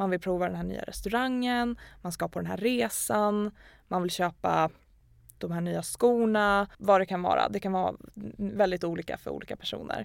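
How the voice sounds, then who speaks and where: The recording is very clean, with a silent background, as a woman talks at a moderate pace. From Sweden, Gävle. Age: 20s. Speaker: personal finance content creator. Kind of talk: casual interview.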